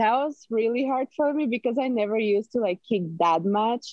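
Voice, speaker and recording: This voice has a Slovak accent, lively intonation and a moderate pace. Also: woman. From Slovakia, Martin. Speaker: college swimmer. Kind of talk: casual interview.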